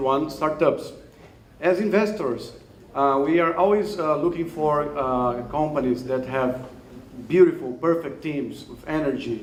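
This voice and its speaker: Speaking at a moderate pace with a Brazilian Portuguese accent, a man uses a fairly high pitch and ordinary pitch variation, with audible room echo around him. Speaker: investor and startup mentor. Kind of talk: event speech introducing a startup. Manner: halting, many fillers.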